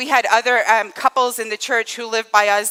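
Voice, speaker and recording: A woman talks at a fairly quick clip in a fairly high, flat monotone. The sound is dry and close with no echo, and music plays behind her. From northeast Scotland. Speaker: church teacher. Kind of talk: sermon. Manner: conversational, frequent fillers.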